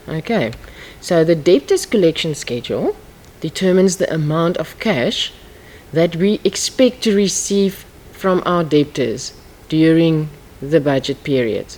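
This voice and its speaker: Using lively intonation, a woman with a normal speaking voice talks fairly slowly at a fairly low pitch. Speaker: accounting teacher. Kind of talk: lecture.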